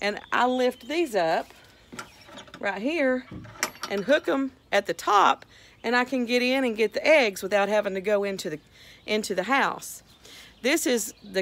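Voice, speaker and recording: With lively intonation, a woman talks at a fairly slow pace. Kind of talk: casual vlog chat. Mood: warm, affectionate. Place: garden. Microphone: phone near.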